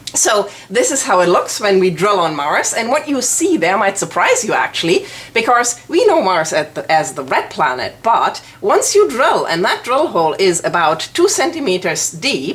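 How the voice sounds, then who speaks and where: A woman with a German accent, fairly high pitch, very wide pitch swings, a moderate pace and hardly any pauses, over noticeable background noise. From Germany. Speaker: planetary scientist, lecturer. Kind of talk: informal educational presentation.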